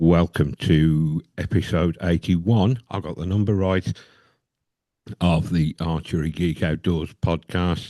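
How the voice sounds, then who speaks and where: A man speaks in a very deep, low pitch with a dark, mellow tone. His pace is fairly slow and his intonation fairly even, over a quiet background. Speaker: podcast host. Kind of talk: casual chat.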